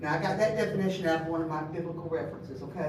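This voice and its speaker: There is noticeable noise behind a woman as she talks, and the room gives off an audible echo. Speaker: bible study teacher. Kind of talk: bible study lesson. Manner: fast.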